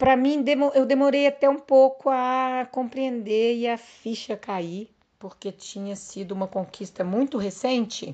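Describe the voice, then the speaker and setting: Over a quiet background, a woman with a high pitch and a dark, mellow tone speaks at a fairly slow pace, with big swings in loudness and ordinary pitch variation. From Brazil, countryside. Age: 50s. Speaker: veteran mountain bike racer. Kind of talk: podcast interview.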